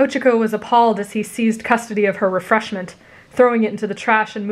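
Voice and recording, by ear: Intonation remains fairly even. The text is read aloud in a natural voice.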